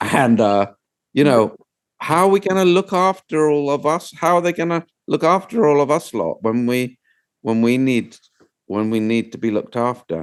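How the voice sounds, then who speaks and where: Pitched fairly high, a man with a British accent talks at a moderate pace, his voice making very wide pitch swings. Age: 60s. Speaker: documentary filmmaker. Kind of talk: interview conversation.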